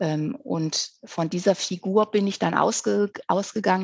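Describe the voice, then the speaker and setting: With fairly even intonation, a woman speaks in a normal speaking voice at medium pitch, the sound dry and close with no echo. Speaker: author. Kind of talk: casual chat.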